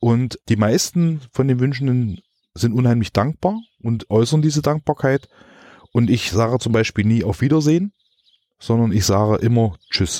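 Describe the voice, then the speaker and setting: Lively in intonation, a man talks at a moderate pace in a medium-pitched voice with a dark, mellow tone. The sound is dry and close with no echo, and his loudness stays very even. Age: 40s. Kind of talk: interview. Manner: halting.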